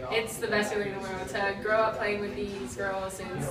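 A woman talking at a very fast pace amid loud background noise and audible room echo. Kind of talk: interview answer. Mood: happy after championship win. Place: hall.

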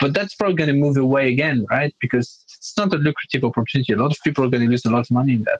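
Fast and nearly pause-free, a man talks in a fairly high, somewhat breathy voice with ordinary pitch variation, recorded dry and close with no echo. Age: 20s. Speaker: crypto project founder. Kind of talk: interview.

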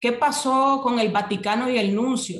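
A woman speaks at a moderate pace with a somewhat breathy voice, ordinary pitch variation and audible room echo. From Nicaragua. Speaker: social movement activist; guest. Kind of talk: interview, political analysis. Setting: remote call. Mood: serious, critical. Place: home room. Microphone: video call.

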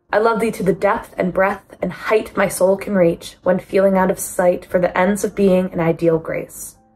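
A woman speaks in a monotone, flat intonation at a moderate pace, with faint music in the background. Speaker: student. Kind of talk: poetry reading. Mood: calm, gentle. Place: home room. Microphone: phone near.

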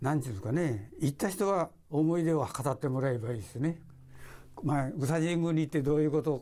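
Talking at a fairly quick pace, a man with a fairly high pitch and a dark, mellow tone uses ordinary pitch variation. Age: 80s+. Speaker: retired model maker; interviewee. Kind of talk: interview. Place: home room.

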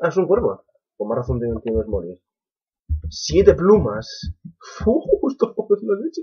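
A man speaks at a fairly slow pace with a Spanish accent. His speech has long, frequent pauses. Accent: Peninsular Spanish. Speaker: gaming youtuber. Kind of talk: gameplay commentary. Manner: animated.

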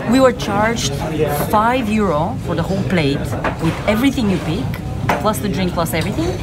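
Over background music, a woman speaks at a fairly quick pace. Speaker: travel vlogger. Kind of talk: casual vlog chat. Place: bar. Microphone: phone near.

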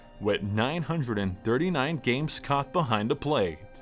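A man speaks at a fairly slow pace with a calm, soothing tone and lively intonation. Music plays in the background. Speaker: stadium public address announcer. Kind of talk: guided sleep meditation narration.

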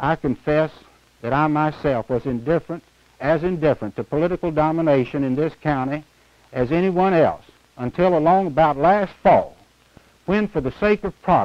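A man's speech, with ordinary pitch variation, moves at a moderate pace. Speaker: candidate. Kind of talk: campaign speech. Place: studio. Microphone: lapel.

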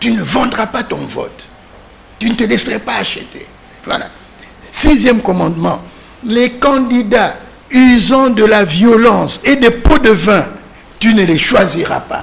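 Long, frequent pauses break up a man's very slow speech. His pitch is high, with ordinary variation. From DR Congo. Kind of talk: political panel discussion. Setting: TV studio. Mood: earnest, didactic. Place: studio. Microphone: studio mic.

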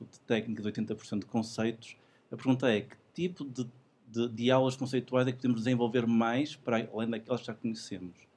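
In a European Portuguese accent, a man with a medium pitch and a dark, mellow tone talks at a fairly quick pace with monotone, flat intonation. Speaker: instructor. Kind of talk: audience question.

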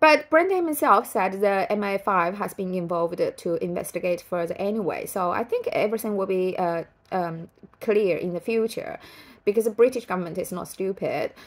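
This woman speaks with a Chinese accent at a medium pitch. Her intonation is lively. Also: moderate pace. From China. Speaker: writer and vlogger. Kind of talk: casual vlog commentary. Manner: halting, many fillers. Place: home room. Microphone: phone near.

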